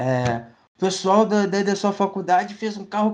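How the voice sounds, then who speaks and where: With a Rio de Janeiro accent, a man speaks at a fairly quick pace and a high pitch, his voice making very wide pitch swings. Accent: Carioca Brazilian Portuguese. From Rio de Janeiro, Brazil. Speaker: student podcast host. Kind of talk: casual interview.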